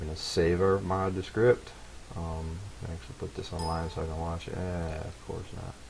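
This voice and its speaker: Mumbling at a very deep, low pitch, a man talks at a moderate pace with ordinary pitch variation and audible room echo. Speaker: game modding tutorial maker. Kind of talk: tutorial. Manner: casual.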